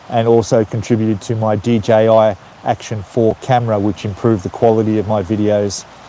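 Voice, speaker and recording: A man's fairly low, monotone voice with a strong Australian accent, flat intonation and a fairly quick pace over noticeable background noise. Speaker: YouTuber, retiree in Thailand. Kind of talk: casual live stream chat. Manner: casual, with frequent fillers and repetitions.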